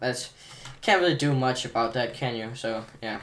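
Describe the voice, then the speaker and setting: A man speaks at a medium pitch. Audible room echo and noticeable background noise surround the voice. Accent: non-native. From outside America. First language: not English. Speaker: gaming tutorial creator. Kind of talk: tutorial. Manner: casual, hesitant with fillers.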